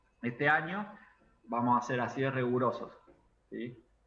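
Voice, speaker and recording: Noticeable background noise runs under a man speaking at a moderate pace in a medium pitch. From Argentina, Córdoba. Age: 30s. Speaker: university lecturer. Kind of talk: online class. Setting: video call.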